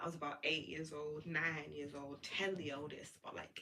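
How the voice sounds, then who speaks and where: A woman's bright, sharp tone with vocal fry and a very deep, low pitch. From South London, England. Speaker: spiritual content creator. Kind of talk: casual livestream monologue. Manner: animated.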